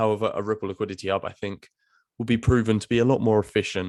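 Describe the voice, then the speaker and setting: A man at a very fast pace, dry, close sound with no echo, very clean recording and silent background. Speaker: crypto YouTuber. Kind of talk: video commentary. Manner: animated.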